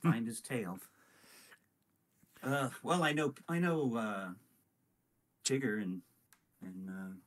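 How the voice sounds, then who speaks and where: Speaking very slowly with long, frequent pauses, a man uses a medium pitch that makes very wide pitch swings. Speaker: voice actor. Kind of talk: casual chat. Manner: halting.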